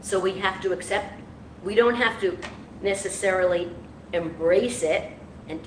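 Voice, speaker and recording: Ordinary pitch variation comes through amid noticeable background noise and audible room echo. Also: woman. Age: 70s. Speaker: public official. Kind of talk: speech at church service. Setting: church. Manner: halting.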